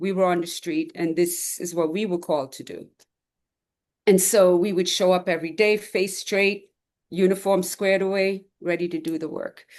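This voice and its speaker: A woman with an unremarkable speaking voice talks at medium pitch and a moderate pace, with fairly even intonation but big swings in loudness. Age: 60s. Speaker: retired police officer, 9/11 first responder. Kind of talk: testimony.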